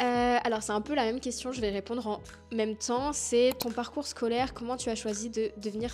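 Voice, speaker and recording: Against noticeable background noise, a woman talks at a moderate pace and a fairly high pitch with fairly even intonation. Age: 20s. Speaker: dietitian and YouTuber. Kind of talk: casual vlog FAQ. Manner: spontaneous, hesitant with many fillers.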